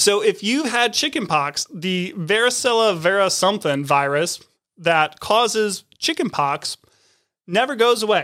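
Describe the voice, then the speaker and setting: The voice is raised and projected, moving at a fairly slow pace with very wide pitch swings on a very clean recording with a silent background. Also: man, high pitch for a man. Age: 30s. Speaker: podcast co-host. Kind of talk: casual chat.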